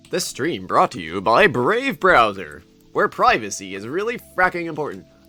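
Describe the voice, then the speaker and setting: With faint music in the background, a man does a put-on character voice at a fairly high pitch and a moderate pace. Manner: salesy, upbeat.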